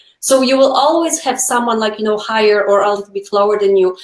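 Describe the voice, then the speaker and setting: A woman's voice shows ordinary pitch variation while noticeable background noise runs behind it. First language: not English. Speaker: nail educator. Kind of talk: casual chat. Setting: live video stream.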